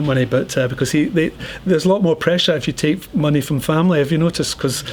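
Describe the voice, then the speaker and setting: Over noticeable background noise, a man with a Scottish accent speaks at a fairly quick pace. His fairly high pitch shows ordinary variation. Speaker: entrepreneur and angel investor. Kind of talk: talk with audience Q&A. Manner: fast.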